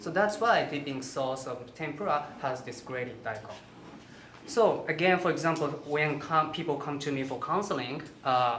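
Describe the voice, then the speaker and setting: The speaker has a Japanese accent and talks at a moderate pace. Noticeable background noise is present. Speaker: holistic health counselor and cooking instructor. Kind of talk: cooking demonstration. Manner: halting.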